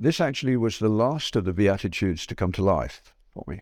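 Speaking at a moderate pace, a man uses a plain, everyday voice with lively intonation. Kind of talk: conference talk to students. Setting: stage with audience. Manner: conversational, humorous.

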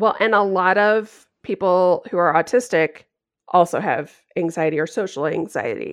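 With a normal speaking voice, a woman talks at a moderate pace and medium pitch. Her pitch varies in an ordinary way against a quiet background. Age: 40s. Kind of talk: casual interview.

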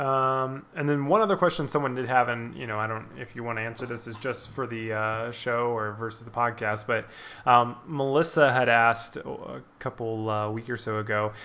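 In a normal speaking voice, a man of medium pitch talks at a moderate pace with fairly even intonation and big swings in loudness. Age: 20s. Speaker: podcast host. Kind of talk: casual chat.

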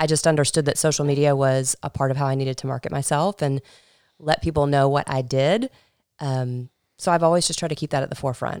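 In a very clean, dry and close recording with no echo and a silent background, a woman with an American accent talks at a very fast pace in a very deep, low pitch with fairly even intonation. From Georgia, US. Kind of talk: casual interview chat.

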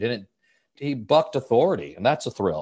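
Quick-ish delivery from a male speaker. Nothing stirs in the background. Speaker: stage actor. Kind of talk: interview. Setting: remote call from home. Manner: halting, frequent restarts.

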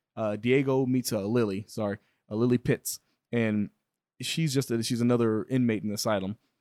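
In an ordinary speaking voice, a man talks at a fairly quick pace with medium pitch and fairly even intonation, the sound dry and close with no echo. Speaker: podcast host. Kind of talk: casual banter, joking. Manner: teasing, sarcastic.

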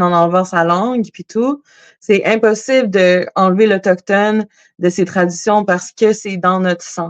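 A woman talks at a fairly slow pace in an ordinary speaking voice, pitched in the medium range with ordinary pitch variation. The sound is dry and close, with no echo. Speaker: singer-songwriter. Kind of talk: casual interview.

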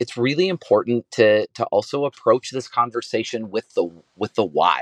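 With an energetic tone and a medium pitch, a man speaks at a moderate pace with ordinary pitch variation in a dry, close sound with no echo. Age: 40s. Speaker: author and keynote speaker. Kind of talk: interview.

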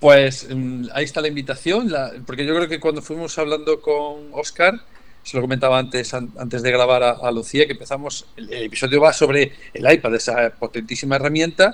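A man in a normal speaking voice talks at a fairly quick pace and a fairly high pitch, with ordinary pitch variation and big swings in loudness. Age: 60s. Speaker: educational podcast co-host. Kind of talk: casual chat.

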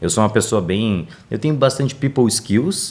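The speaker is a man with a medium-pitched voice. His intonation moves in a lively way. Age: 20s. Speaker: digital marketing specialist. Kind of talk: interview. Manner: animated.

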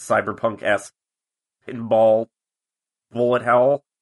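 A man's medium-pitched voice at a very slow pace, dry and close with no echo. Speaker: podcast co-host. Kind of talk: casual chat.

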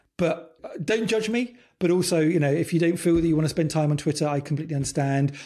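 Speaking very fast with a British accent, a man has a fairly high pitch. His tone is dark and mellow, and his loudness stays very even. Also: ordinary pitch variation. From UK. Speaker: design leadership coach. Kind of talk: casual chat. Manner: halting.

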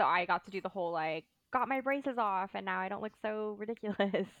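In a Southern California accent, a woman speaks at a fairly quick pace with a medium pitch, ordinary pitch variation and a fairly bright tone. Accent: American, Valley Girl.

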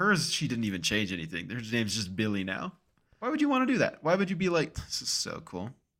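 Very fast, animated speech with very wide pitch swings. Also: man, medium pitch for a man. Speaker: podcast co-host. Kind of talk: casual chat. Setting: remote recording, own apartment. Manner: animated, joking.

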